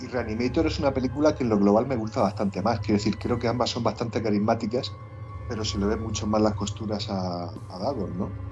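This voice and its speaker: A man talks at a very fast pace with a fairly low pitch. His intonation is fairly even, and there is noticeable background noise. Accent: Murcian. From Murcia, Spain. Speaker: podcast co-host, film critic. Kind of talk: casual podcast chat about films.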